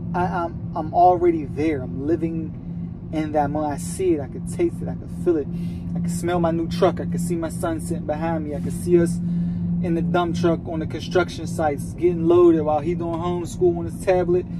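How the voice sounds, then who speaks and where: A man speaks at a fairly quick pace while noticeable background noise carries on around him. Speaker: truck driver vlogger. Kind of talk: casual vlog chat. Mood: reflective, motivated. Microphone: phone near.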